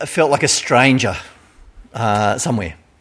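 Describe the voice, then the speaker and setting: With lively intonation, a man talks in an Australian accent. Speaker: pastor. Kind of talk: sermon. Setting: church.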